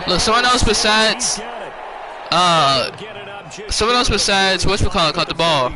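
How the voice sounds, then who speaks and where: Against noticeable background noise, a man with a high pitch speaks in a raised, projected voice at a moderate pace, with very even loudness and long, frequent pauses. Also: lively intonation. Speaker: gaming streamer. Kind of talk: gameplay commentary. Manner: halting.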